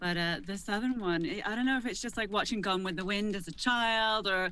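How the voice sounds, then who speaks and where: A woman at medium pitch talks at a fairly quick pace with ordinary pitch variation and a bright, sharp tone, with audible room echo. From United Kingdom. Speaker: voice actor. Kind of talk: panel discussion.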